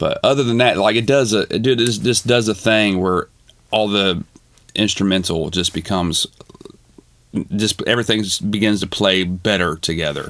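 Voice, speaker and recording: A man's fairly low voice moves at a moderate pace, its pitch varying in an ordinary way. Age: 40s. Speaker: music producer and streamer. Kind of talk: live stream chat answering viewer questions. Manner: casual, halting with fillers.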